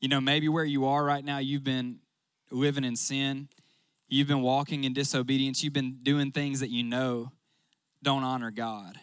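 At a moderate pace, a man with a medium pitch talks in a Southern US accent. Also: very clean recording, silent background. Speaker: youth pastor. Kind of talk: sermon. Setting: stage with audience. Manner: animated.

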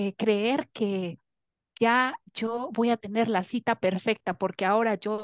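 This woman has a plain, everyday voice. Her pitch is fairly high, with ordinary variation. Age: 30s. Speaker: coaching client. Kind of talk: testimony.

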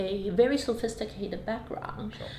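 Amid noticeable background noise and audible room echo, a woman speaks at medium pitch and a moderate pace with ordinary pitch variation. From Hong Kong. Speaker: business executive. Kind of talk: interview. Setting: office.

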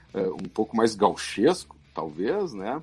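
Music plays in the background as the voice makes very wide pitch swings. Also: man. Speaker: football club historian. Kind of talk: interview.

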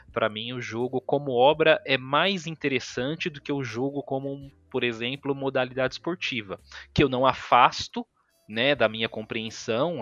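Music plays in the background as a man talks at a fairly slow pace. His pitch is medium, with ordinary variation. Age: 30s. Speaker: video game researcher. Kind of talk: casual chat.

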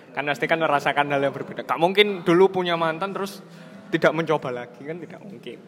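Music plays in the background behind a man. His pitch is fairly high, with ordinary pitch variation. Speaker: podcast host. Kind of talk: casual chat.

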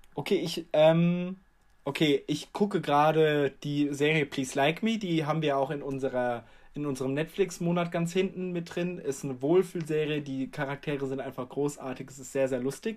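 On a very clean recording with a silent background, a man speaks in a plain, everyday voice at a fairly high pitch and a moderate pace. His pitch varies in an ordinary way, while his loudness swings widely. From Germany. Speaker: podcast co-host. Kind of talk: casual chat.

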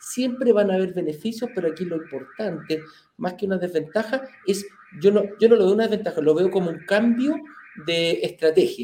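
A man with a high voice speaks at a moderate pace. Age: 40s. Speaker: real estate investment show host. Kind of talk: casual chat.

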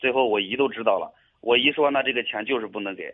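A man is speaking. His intonation is fairly even. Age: 20s. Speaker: caller seeking advice. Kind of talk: radio call-in. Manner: halting, hesitant.

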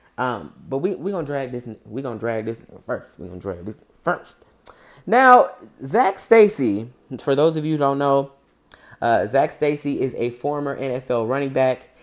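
In an animated tone, a woman with a very deep, low pitch speaks at a moderate pace, her pitch swinging very widely and her loudness rising and falling a lot. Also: very clean recording, silent background. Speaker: podcast host. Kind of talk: angry rant. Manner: indignant.

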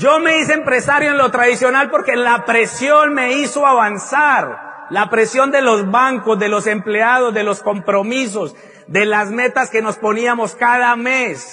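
A man with an extremely high pitch uses a raised, projected voice at a fairly slow pace, with ordinary pitch variation, hardly any pauses and noticeable background noise. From Colombia. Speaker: motivational speaker. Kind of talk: motivational talk.

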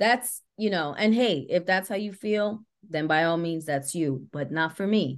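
A woman with an American accent speaks in an unremarkable speaking voice at a fairly low pitch, fairly slow pace and lively intonation, with hardly any pauses over a quiet background. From New York City, the Bronx. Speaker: actress and author. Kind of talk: interview.

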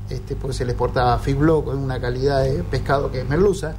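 Amid audible room echo and noticeable background noise, a man talks at a fairly quick pace with fairly even intonation. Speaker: fisherman. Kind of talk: interview.

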